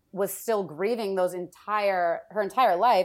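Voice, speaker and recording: A plain, everyday voice with fairly even intonation comes through a very clean recording with a silent background. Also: woman. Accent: American. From Wisconsin, US Midwest. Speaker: entertainment marketing producer. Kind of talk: casual chat.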